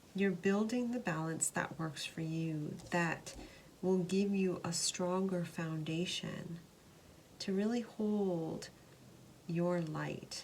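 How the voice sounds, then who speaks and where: This somewhat breathy voice moves at a very slow pace with fairly even intonation. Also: woman, fairly low pitch for a woman. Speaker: tarot card reader. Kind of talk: tarot reading to camera.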